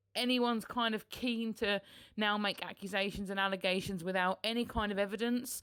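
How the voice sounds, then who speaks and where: With a British accent, a woman speaks at a moderate pace with a fairly high pitch and a bright, sharp tone, in a very clean recording with a silent background. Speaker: political podcaster. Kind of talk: solo podcast commentary. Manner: mumbling.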